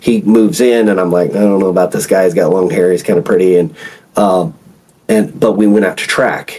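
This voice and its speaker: At a fairly quick pace, a man speaks with a fairly low pitch against noticeable background noise. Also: ordinary pitch variation. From Oklahoma (rural backwoods). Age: 40s. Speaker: former naval officer and retired FBI agent. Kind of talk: podcast interview. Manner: casual, halting with repetitions.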